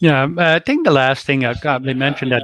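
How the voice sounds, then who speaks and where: With a Quebec accent, a man of medium pitch speaks with ordinary pitch variation in a dry, close sound with no echo. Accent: French Canadian accent in English. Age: 60s. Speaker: life coach. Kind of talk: interview. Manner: halting.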